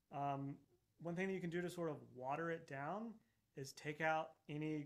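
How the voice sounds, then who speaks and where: In an American accent, a man with an unremarkable speaking voice and fairly high pitch talks at a moderate pace with fairly even intonation against a quiet background. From Texas. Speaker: orchestral percussionist; percussion teacher. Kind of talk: masterclass lecture. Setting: video call webinar. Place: studio.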